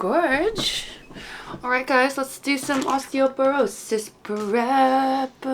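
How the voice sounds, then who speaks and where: A woman talks at a high pitch in an animated tone. Noticeable background noise runs underneath. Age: 20s. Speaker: medical student and vlogger. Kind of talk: casual vlog talk to camera. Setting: filming alone at home at night.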